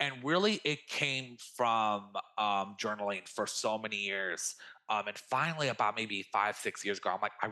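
Bright, sharp tone at a moderate pace with an American accent. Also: man. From US, California (Bay Area). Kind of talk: casual interview. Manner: animated.

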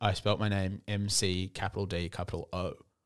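Here is a man with an Australian accent and a fairly low pitch. His intonation is fairly even, in a very clean recording with a silent background. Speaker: podcast co-host. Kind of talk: casual chat. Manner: subdued, lower energy.

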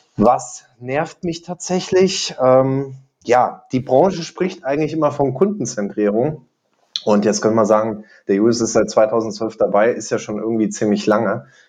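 A man with a normal speaking voice talks at a fairly slow pace, using a medium pitch and lively intonation. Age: 20s. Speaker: insurance digital expert and lecturer, podcast co-host. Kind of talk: casual chat.

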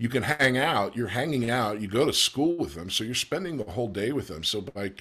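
With vocal fry and lively intonation, a man talks at a moderate pace and medium pitch in a very clean recording with a silent background. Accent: American. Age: 50s. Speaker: actor. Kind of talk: casual chat.

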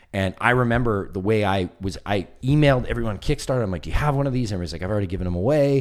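A man races along at a very fast pace, hardly pausing at all. His intonation is lively. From Canada West Coast. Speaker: documentary filmmaker. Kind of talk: casual comedy podcast chat. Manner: casual, profane.

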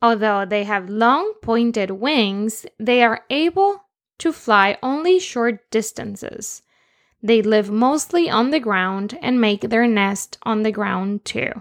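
A woman with a Spanish accent talks at a very slow pace in a fairly high voice with ordinary pitch variation, the sound dry and close with no echo against a quiet background. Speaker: children's podcast host. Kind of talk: children's educational show.

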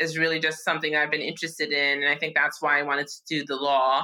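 Her tone bright and sharp, a woman speaks in a New York accent. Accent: New York American. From New York, Yonkers. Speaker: law professor. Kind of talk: interview conversation.

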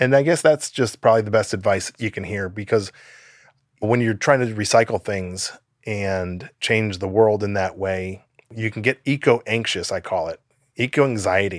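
A man with an unremarkable speaking voice and an American accent, fairly low in pitch with ordinary variation, at a moderate pace against a quiet background. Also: dry, close sound with no echo. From US Midwest, Chicago suburbs. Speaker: nonprofit founder. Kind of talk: interview. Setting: video call.

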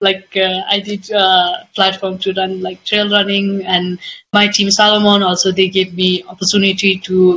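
A woman with a Nepali accent talks at a moderate pace and medium pitch, her intonation monotone and flat, with hardly any pauses. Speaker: trail runner. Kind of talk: interview. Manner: halting.

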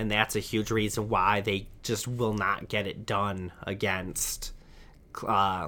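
A bright, sharp tone in a flat monotone, with an American accent and a fairly slow pace. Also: man. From Michigan, US Midwest. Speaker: sports podcast host. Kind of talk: solo sports commentary podcast. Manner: halting, many repeated words.

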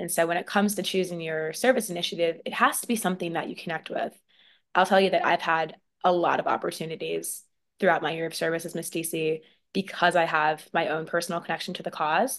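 With an American accent, a woman talks at a very fast pace in a fairly low pitch. Her pitch variation is ordinary, and the background is quiet. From US, military family. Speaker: beauty pageant titleholder. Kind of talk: interview.

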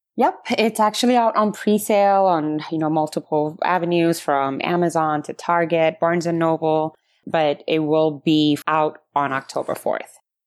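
In a very clean recording with a silent background, a woman with an Ethiopian accent speaks at a fairly low pitch. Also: ordinary pitch variation, moderate pace. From Ethiopia, then US (Dallas). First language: Amharic. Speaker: cookbook author. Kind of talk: casual interview conversation.

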